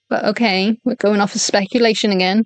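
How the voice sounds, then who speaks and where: A woman speaks with a Welsh accent at medium pitch and a moderate pace. Her intonation is fairly even, and the sound is dry and close with no echo. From Wales. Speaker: VTuber streamer. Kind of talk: live stream commentary reading a document. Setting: home live stream at night. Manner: stuttering; kept quiet, not loud.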